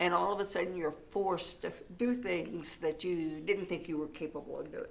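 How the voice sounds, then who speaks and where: A woman talks at a moderate pace with ordinary pitch variation. Background noise is noticeable. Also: fairly low pitch for a woman. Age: 80s+. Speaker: church ministry volunteer, widow. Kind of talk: interview.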